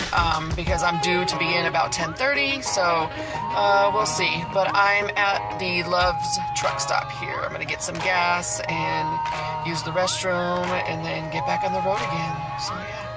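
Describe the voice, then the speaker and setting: Loud music plays in the background as the speech moves at a fairly slow pace. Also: woman. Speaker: road trip vlogger. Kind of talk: casual vlog chat. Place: car. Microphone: phone near.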